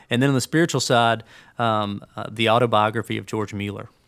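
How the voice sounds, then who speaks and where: A man with an Alabama accent at a fairly quick pace. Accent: US Southern (Alabama). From Birmingham, Alabama. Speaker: executive pastor. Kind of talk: interview conversation. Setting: studio.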